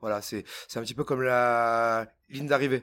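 On a very clean recording with a silent background, a man at medium pitch talks at a moderate pace with fairly even intonation. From Auvergne, France. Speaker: glassblower. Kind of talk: casual chat. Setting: hot workshop with furnace and fans. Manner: hesitant.

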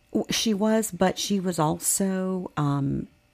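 A woman speaks with lively intonation. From Virginia. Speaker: interview guest. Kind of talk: casual interview. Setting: studio.

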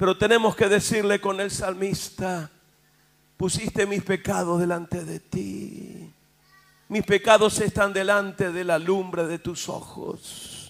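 Here a man speaks with a high pitch. His pace is very slow. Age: 60s. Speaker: pastor. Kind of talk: sermon. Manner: animated.

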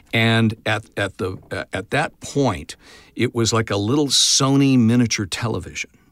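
Heard in a very clean recording with a silent background and a dry, close sound with no echo, a man with an American accent speaks at a moderate pace in a plain, everyday voice, his medium pitch showing ordinary variation. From Oklahoma, US. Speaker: voice actor. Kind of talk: interview.

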